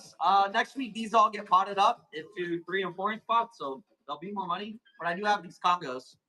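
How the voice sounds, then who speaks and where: A raised, projected voice carries over music in the background. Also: man. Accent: American. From Arizona, US. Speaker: plant seller hosting live auctions. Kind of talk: live sales stream.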